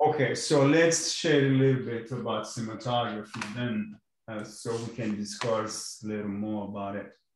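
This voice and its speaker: Ordinary pitch variation, with audible room echo and light background noise. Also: man, moderate pace. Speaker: course instructor. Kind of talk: online class lecture. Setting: video call. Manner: hesitant, many fillers. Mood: relaxed, friendly. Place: home room.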